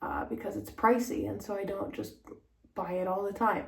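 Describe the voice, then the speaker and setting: Soft-spoken, a woman swings very widely in pitch amid audible room echo and noticeable background noise. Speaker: style vlogger. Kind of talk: casual vlog talk. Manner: hesitant, many fillers.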